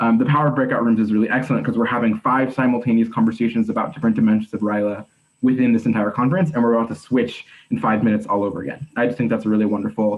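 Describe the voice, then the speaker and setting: Very fast speech comes with ordinary pitch variation. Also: man. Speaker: conference panelist presenting for a partner organization. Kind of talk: online conference presentation. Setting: video call.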